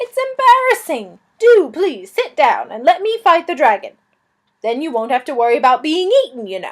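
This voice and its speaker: A woman's put-on character voice, extremely high in pitch, with very wide pitch swings at a moderate pace. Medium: read story. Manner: polite, apologetic, genteel.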